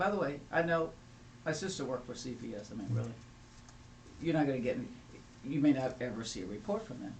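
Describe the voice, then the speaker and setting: A man talks very fast in a fairly high voice with lively intonation, with noticeable background noise and audible room echo. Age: 70s. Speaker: family law attorney. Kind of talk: panel discussion. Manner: animated.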